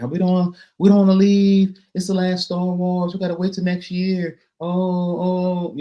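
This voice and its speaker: Putting on a whiny, high-pitched character voice, a man talks at a moderate pace with monotone, flat intonation. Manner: whining.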